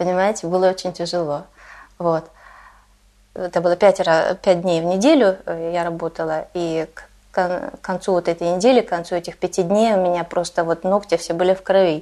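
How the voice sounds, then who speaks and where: A woman talks with a fairly low pitch and a dark, mellow tone. Her speech has long, frequent pauses. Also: fairly even intonation, moderate pace. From Russia. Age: 40s. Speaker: Russian emigrant living in Denmark. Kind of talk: interview.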